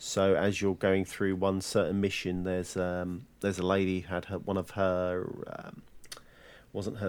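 A man speaks in a very deep, low voice at a moderate pace with flat, monotone intonation. The recording is very clean, with a silent background. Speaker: departing podcast co-host. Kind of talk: casual chat.

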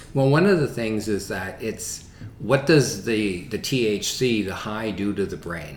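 A man speaks fairly slowly in a somewhat breathy, fairly low voice. His pitch varies in an ordinary way. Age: 60s. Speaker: sexologist. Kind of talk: interview.

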